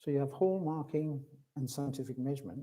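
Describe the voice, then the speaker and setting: A man's somewhat breathy, dark, mellow voice at a fairly high pitch, with fairly even intonation. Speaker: hallmarking expert. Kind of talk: conference presentation. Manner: hesitant, many fillers.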